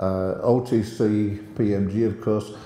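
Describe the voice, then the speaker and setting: A man's voice with audible room echo. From Australia. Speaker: former tracking station deputy director. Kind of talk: speech with anecdotes. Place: hall. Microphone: handheld.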